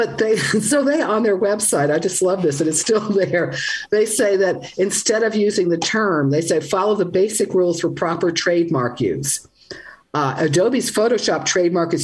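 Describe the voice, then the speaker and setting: At a moderate pace, the speaker uses lively intonation and very even loudness over noticeable background noise. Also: woman, medium pitch for a woman. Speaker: language writer and podcaster. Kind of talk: radio call-in interview. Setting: video call.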